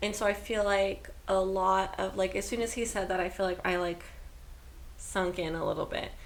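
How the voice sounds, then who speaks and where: Noticeable background noise and audible room echo surround a woman at a medium pitch speaking in monotone, flat intonation. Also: moderate pace. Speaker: podcast co-host. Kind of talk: casual chat. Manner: loud.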